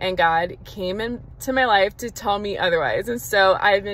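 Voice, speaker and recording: A woman talks at a moderate pace with ordinary pitch variation. The sound is dry, with no echo. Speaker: faith vlogger. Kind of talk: casual vlog chat. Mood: earnest, personal. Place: car. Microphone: phone near.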